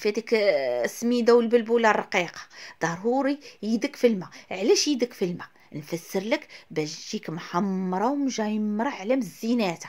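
In a Moroccan accent, a woman speaks at a fairly high pitch. Her intonation is lively. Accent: Moroccan Arabic (Darija). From Morocco. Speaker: cooking video host. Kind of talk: cooking tutorial. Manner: fast, chatty. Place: kitchen. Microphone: phone near.

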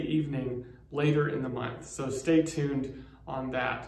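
Audible room echo hangs around a man's speaking voice. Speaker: pastor. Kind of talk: pastoral prayer read aloud, a spoken blessing with solemn, measured cadence. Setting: recorded church video message, online worship. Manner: slow, reverent, soothing and unhurried, with warm, gentle pauses; informal, welcoming tone in the announcements with hesitant 'um' fillers. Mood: warm, reverent. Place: church.

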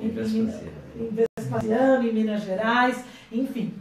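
A woman speaks in a monotone, flat intonation. Audible room echo and light background noise are present. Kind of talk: panel debate answer. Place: meeting room. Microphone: camera far.

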